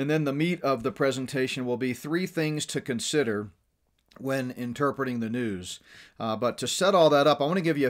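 With ordinary pitch variation, a man keeps a moderate pace, and the background stays quiet. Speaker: ministry teacher. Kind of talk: remote lecture.

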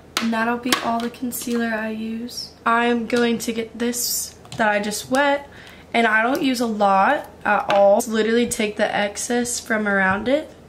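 A woman speaks fairly slowly with fairly even intonation. Background noise is noticeable. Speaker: beauty vlogger. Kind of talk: casual makeup tutorial chat. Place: home room. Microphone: phone near.

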